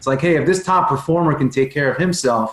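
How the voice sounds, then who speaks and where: Somewhat breathy, a man talks with ordinary pitch variation. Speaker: performance coach and speaker. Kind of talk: podcast interview.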